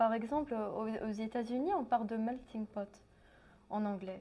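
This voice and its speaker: Fairly high and somewhat breathy, a woman's voice of dark, mellow tone, its intonation fairly even. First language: English (speaking French). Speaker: translation student and musician. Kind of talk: interview. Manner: halting.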